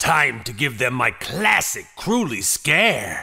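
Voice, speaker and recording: The man puts on a character voice. It sits fairly high and moves at a fairly slow pace. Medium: audio drama. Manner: boastful, mocking.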